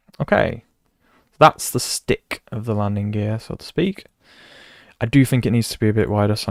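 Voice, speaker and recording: In a very clean recording with a silent background and a dry, close sound with no echo, a man speaks with a British accent at a moderate pace, his voice fairly low with ordinary pitch variation. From Britain. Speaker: video game streamer. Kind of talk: live stream commentary. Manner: casual, thinking aloud.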